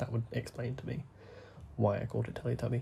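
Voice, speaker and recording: Soft-spoken and in a British accent, this voice has a dark, mellow tone with vocal fry, a fairly quick pace and fairly even intonation. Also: man. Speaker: gaming YouTuber. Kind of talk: gameplay commentary. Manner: soft-spoken, holding back volume; rambling, hesitant.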